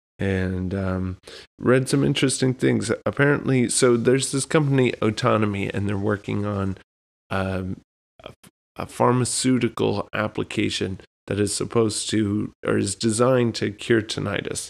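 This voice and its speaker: Heard on a very clean recording with a silent background, a man with an American accent has an unremarkable speaking voice. It is fairly low in pitch, with ordinary pitch variation and a moderate pace. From Texas. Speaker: podcast host. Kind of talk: casual chat.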